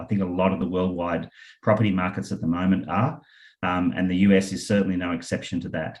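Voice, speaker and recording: With an Australian accent, a man talks at a very fast pace. His pitch is very deep and low. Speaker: property investment company founder. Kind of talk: webinar presentation. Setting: online webinar with screen share. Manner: hesitant, many fillers.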